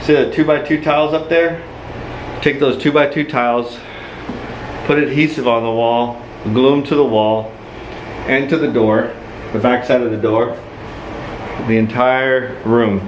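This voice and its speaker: Amid audible room echo and noticeable background noise, a man speaks at a fairly slow pace with long, frequent pauses. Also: medium pitch for a man. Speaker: dental office builder. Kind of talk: tutorial. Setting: indoors, empty dental office. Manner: casual.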